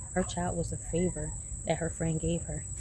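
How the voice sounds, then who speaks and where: A woman speaks at a fairly quick pace amid noticeable background noise and audible room echo. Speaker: vlogger, single mother. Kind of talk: casual vlog monologue. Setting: outdoors in a garden. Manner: animated; speaking low.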